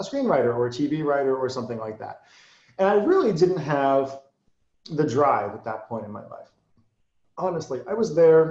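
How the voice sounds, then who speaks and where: A man with an American accent, fairly high in pitch, fairly quick, with lively intonation. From Massachusetts. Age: 40s. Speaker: marketer and copywriter. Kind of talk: interview. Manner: fast; boisterous.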